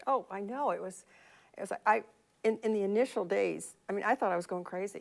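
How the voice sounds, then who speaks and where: Vocal fry from a woman at a fairly quick pace, with ordinary pitch variation on a very clean recording with a silent background. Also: medium pitch for a woman. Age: 70s. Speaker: financial planner. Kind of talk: interview.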